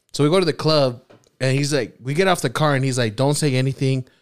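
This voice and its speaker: At a moderate pace, a man talks in a medium pitch. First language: not English. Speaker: podcast co-host. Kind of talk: casual chat.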